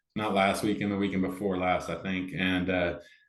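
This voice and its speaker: Here a man speaks at a fairly low pitch and a fairly quick pace. Audible room echo surrounds his voice. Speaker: amateur pickleball player and organizer. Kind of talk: casual interview chat. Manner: loud; animated.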